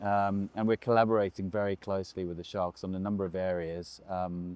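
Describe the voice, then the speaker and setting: His voice sits very deep and low, held in a monotone, flat line. The man keeps up a fairly quick pace. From South Africa, Durban area. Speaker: rugby club CEO. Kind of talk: interview. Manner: measured, many filler ums.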